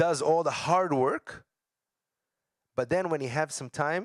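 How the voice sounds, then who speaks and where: At a moderate pace, a man with an Israeli accent speaks at a fairly high pitch in a dry, close sound with no echo. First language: Hebrew. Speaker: educator. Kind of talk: lecture.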